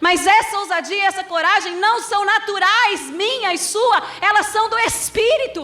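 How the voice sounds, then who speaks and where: In a room with audible echo, a woman with a Minas Gerais accent projects an extremely high voice at a fairly slow pace. Her tone is animated and her intonation lively. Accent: Minas Gerais (mineiro). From Brazil, Minas Gerais (Belo Horizonte). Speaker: pastor. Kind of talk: sermon.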